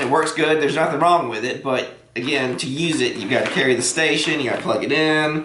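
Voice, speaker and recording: With a Southern US accent and fairly even intonation, the voice carries audible room echo and noticeable background noise. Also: man. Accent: southern drawl. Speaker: workshop maker YouTuber. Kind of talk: product unboxing tutorial. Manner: casual, frequent filler uh.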